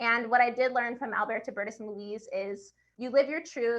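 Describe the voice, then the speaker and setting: Here a woman speaks with an American accent. Her pace is moderate and her intonation fairly even. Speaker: author. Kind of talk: interview.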